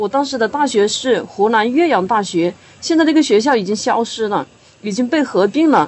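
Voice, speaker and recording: A woman with a normal speaking voice speaks at a fairly high pitch. Her intonation is lively and her pace is moderate. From Hunan, China. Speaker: writer and university teacher. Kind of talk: podcast discussion.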